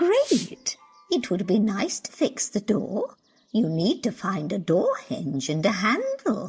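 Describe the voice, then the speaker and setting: A woman uses a cartoonish character voice, fairly high in pitch, with very wide pitch swings at a fairly slow pace. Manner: warm, gentle.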